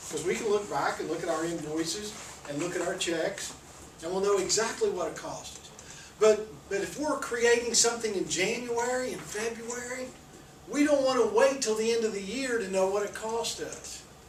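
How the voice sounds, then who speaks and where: A moderate pace amid noticeable background noise. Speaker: accounting professor. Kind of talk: lecture. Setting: classroom, recorded on camera. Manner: mumbles; speaking loudly for the camera.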